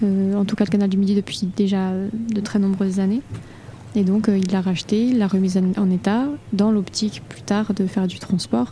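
Noticeable background noise is present throughout. Over it, a woman talks with fairly even intonation. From Toulouse area, southern France. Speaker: barge deckhand. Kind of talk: interview. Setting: studio on a barge.

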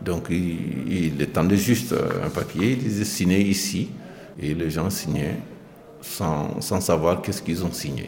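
A man speaks very slowly in a very deep, low voice. Noticeable background noise and audible room echo fill the recording. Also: ordinary pitch variation. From Mali. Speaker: migrant worker, residents' delegate. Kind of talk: interview. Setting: in his hostel room.

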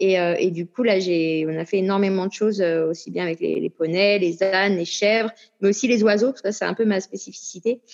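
A woman's medium-pitched, fairly quick delivery with fairly even intonation and a normal speaking voice. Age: 40s. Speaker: singer and actress. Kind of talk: casual interview.

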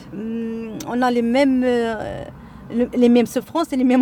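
A woman speaks with a high pitch. Noticeable background noise is present. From Morocco, Casablanca. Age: 40s. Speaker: women's association member, housewife. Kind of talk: interview. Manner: halting, frequent repetitions.

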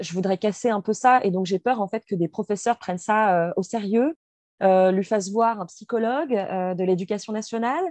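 In a dry, close sound with no echo, a woman with an unremarkable speaking voice talks at a moderate pace and medium pitch with ordinary pitch variation. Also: quiet background. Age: 20s. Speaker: activist sharing personal story. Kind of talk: testimony.

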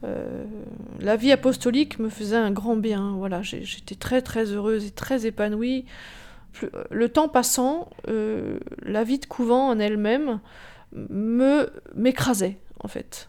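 Pausing long and often, a woman speaks at a fairly high pitch with a dark, mellow tone, ordinary pitch variation and big swings in loudness. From France, Rambouillet. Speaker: former nun. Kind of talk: testimony. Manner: halting.

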